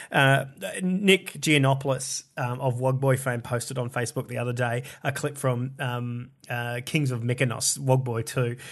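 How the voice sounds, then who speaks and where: A man's medium-pitched voice with an Australian accent, fairly even in intonation, at a moderate pace over a quiet background. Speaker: comedian. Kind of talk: casual chat.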